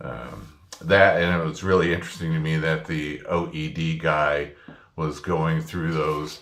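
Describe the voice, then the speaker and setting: In an American accent, a man talks at a fairly slow pace with audible room echo. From US Midwest. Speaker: former printing press operator, student. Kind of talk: spoken class assignment reflection. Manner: hesitant with frequent fillers.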